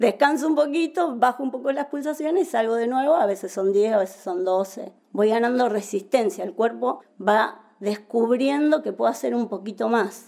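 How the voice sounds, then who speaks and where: Hardly pausing, a woman speaks at a moderate pace with a fairly high pitch, lively intonation and a dark, mellow tone. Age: 50s. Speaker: architect and amateur triathlete. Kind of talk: interview.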